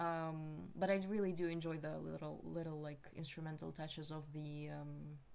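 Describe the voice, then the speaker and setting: Over noticeable background noise and audible room echo, a woman with a non-native accent talks at a moderate pace with hardly any pauses. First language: not English. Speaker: video commentator. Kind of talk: casual commentary. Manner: halting, many fillers.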